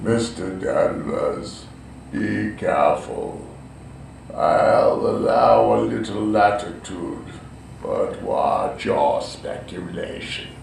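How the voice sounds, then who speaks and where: Someone delivers a put-on character voice at a very slow pace with a slight echo. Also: man. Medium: audio drama. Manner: stern, authoritative.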